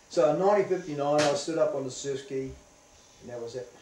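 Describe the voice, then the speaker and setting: Amid audible room echo and noticeable background noise, a man speaks at a fairly quick pace and fairly high pitch with ordinary pitch variation. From New Zealand, Northland. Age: 60s. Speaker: veteran surfer. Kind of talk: interview.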